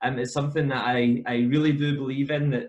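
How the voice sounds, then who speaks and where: A man with a Scottish accent talks at a fairly high pitch. His voice is somewhat breathy, with fairly even intonation. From Scotland. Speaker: football coach educator. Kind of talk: podcast interview. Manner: hesitant, many fillers.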